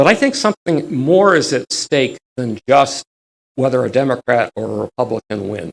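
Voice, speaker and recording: A man's medium-pitched voice with vocal fry, lively intonation and a moderate pace, the sound dry and close with no echo. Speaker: history lecturer. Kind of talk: lecture. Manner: animated.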